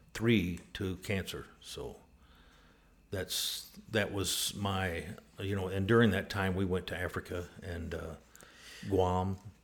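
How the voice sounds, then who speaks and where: A man with a West Texas accent, very deep and low, in a monotone, flat intonation at a very slow pace. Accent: West Texas drawl. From West Texas (Abilene). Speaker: church member, former overseas missionary builder. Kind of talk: interview, personal storytelling. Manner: halting, many filler words.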